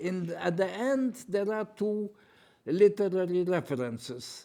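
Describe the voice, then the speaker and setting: A man with a Lithuanian accent speaks at a very slow pace in a high-pitched voice with a dark, mellow tone. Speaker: poet and retired professor. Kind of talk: panel interview. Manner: halting, with repetitions.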